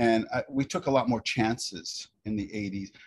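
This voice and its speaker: Over a quiet background, a man of medium pitch talks at a moderate pace in a somewhat breathy voice. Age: 50s. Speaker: hair cutting educator. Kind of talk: casual chat. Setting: video call.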